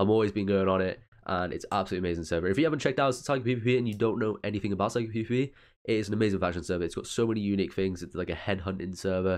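The speech comes at a very fast pace over a quiet background. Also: man, fairly low pitch for a man, ordinary pitch variation. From UK. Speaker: gaming YouTuber. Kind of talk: casual vlog-style talk to viewers.

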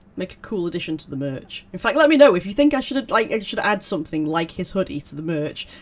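Speaking very fast with hardly any pauses, a man with a British accent uses a high pitch, very wide pitch swings and big swings in loudness. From UK. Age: 30s. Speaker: gaming YouTuber. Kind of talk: let's play commentary. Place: home room. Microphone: headset.

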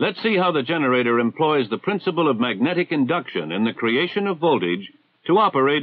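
The background is quiet. A man talks at a very fast pace. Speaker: film narrator. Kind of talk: educational narration. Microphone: old recording.

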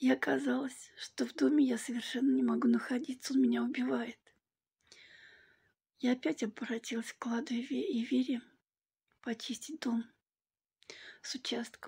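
Speaking at a moderate pace against a quiet background, a woman leaves long, frequent pauses. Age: 60s. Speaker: client giving a testimonial. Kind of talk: testimony. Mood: warm, grateful. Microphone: phone near.

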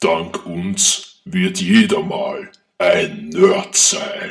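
Very slowly, a man speaks in a high pitch. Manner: defiant, scornful.

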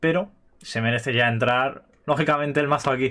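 In a bright, sharp tone, a man talks at a moderate pace. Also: quiet background. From Spain. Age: 20s. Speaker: gaming youtuber. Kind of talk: casual chat. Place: home room. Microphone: webcam.

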